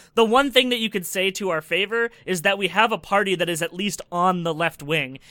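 A man with a Canadian accent speaks in a raised, projected voice, high in pitch with a bright, sharp tone and ordinary pitch variation. His fairly quick pace has hardly any pauses, and the sound is dry and close with no echo in a very clean recording with a silent background. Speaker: podcast panelist. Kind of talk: casual chat.

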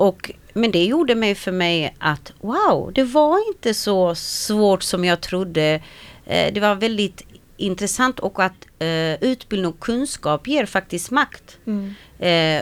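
At a very slow pace, a woman talks in a medium pitch with lively intonation. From Sweden, arrived from Slovakia at six. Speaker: Roma women's organization founder. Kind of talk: radio interview. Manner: hesitant, many fillers.

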